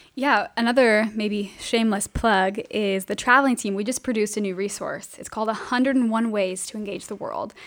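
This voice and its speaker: A plain, everyday voice with an American accent moves at a fairly quick pace, with ordinary pitch variation and hardly any pauses. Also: woman, fairly high pitch for a woman, big swings in loudness. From Southern California, Riverside. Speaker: missions mobilizer. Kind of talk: casual interview.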